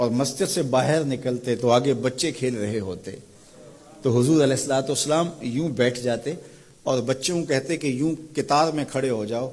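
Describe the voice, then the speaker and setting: A man's unremarkable speaking voice, medium in pitch, with ordinary pitch variation. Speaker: Islamic scholar giving a sermon. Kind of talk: religious sermon (bayan).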